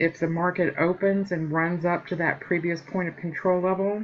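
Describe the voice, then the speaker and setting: Here is a woman with a fairly low pitch. She talks at a fairly slow pace. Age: 50s. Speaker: trading educator. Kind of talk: tutorial. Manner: hesitant with frequent fillers; casual, conversational.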